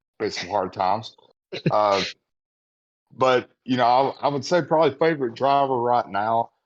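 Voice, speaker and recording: Speaking fairly quickly with an American accent, a man uses lively intonation. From United States. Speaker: podcast co-host. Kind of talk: casual chat.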